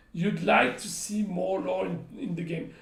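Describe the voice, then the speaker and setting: A man speaks at a fairly slow pace. The room echo is audible. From France. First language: French. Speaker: game company community manager. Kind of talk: live stream chat. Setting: live stream.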